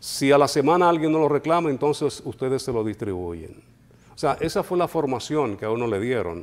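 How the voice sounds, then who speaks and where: The man's intonation is lively. He talks fairly quickly. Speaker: radio announcer. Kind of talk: interview answer.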